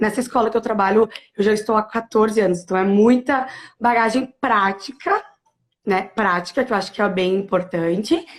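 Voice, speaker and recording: A woman's ordinary speaking voice, fairly high in pitch, with ordinary pitch variation. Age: 30s. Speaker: primary school teacher. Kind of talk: interview on teaching practice.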